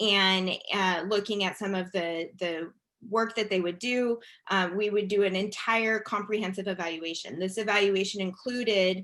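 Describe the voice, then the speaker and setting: A woman speaks with fairly even intonation. Hers is an ordinary speaking voice. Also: medium pitch for a woman, moderate pace. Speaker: education policy expert. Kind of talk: webinar presentation.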